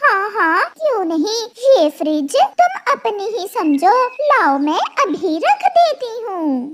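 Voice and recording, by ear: A cartoonish character voice speaks at a very slow pace. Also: woman, extremely high pitch for a woman.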